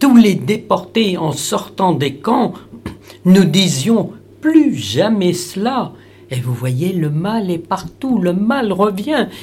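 Very slowly and with very wide pitch swings, a woman of medium pitch speaks in a somewhat breathy voice with audible room echo. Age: 80s+. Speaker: Holocaust survivor. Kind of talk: testimony. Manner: halting.

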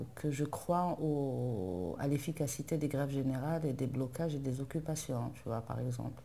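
A fairly slow pace with hardly any pauses. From Algeria, Algiers. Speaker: novelist and journalist. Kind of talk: interview. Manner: halting.

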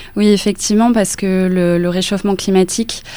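A woman's medium-pitched voice, monotone and flat, at a moderate pace over noticeable background noise. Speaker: journalist. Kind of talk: radio interview.

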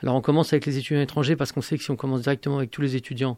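A man's fairly high voice comes through a very clean recording against a silent background. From born in Algeria. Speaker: university math lecturer and activist. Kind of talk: radio interview. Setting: radio studio, live.

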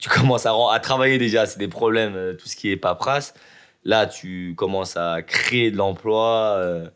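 On a very clean recording with a silent background, a man speaks in a normal speaking voice at a fairly low pitch and moderate pace, with ordinary pitch variation and big swings in loudness. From Lyon area, France. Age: 30s. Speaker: hair salon owner. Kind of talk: interview.

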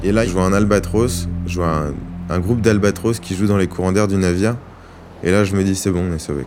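A man talks at a fairly quick pace in a very deep, low voice with fairly even intonation. Room echo is audible, and music plays in the background. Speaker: ship engineer officer. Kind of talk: testimony. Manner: halting.

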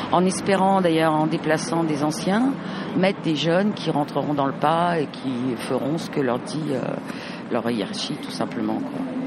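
A woman speaks with a very deep, low pitch and very wide pitch swings. Noticeable background noise and audible room echo are present. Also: fairly slow pace. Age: 60s. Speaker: teacher and union member. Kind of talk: interview at a protest.

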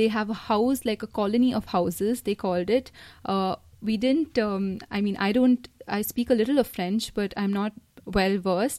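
The woman's fairly high voice has a dark, mellow tone and moves at a moderate pace. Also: ordinary pitch variation. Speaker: exchange student from India. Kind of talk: interview.

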